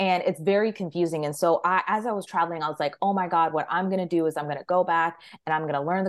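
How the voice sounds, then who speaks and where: Speaking at a very fast pace, a woman with an American accent uses a fairly low pitch against a quiet background. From Maryland, US. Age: 30s. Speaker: leadership and career coach. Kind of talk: podcast interview. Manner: animated.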